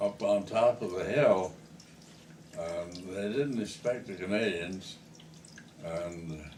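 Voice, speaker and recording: The speech is very slow with lively intonation, and noticeable background noise can be heard. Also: man. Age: 80s+. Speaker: war veteran. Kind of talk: reminiscing conversation.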